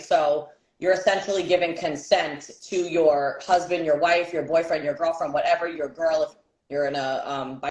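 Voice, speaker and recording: A woman with an American accent speaks at a moderate pace with fairly even intonation. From New York City (Bronx, Brooklyn). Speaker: podcast co-host. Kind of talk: casual chat. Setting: livestream.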